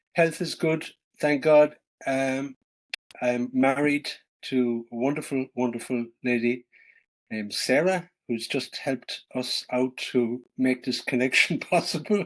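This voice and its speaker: Speaking in a Cork accent, a man keeps a medium pitch, ordinary pitch variation and a fairly slow pace. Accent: Irish, Cork. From Ireland, West Cork. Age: 60s. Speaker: author and traveler. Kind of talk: interview conversation. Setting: Zoom video call from home farm. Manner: hesitant, with fillers.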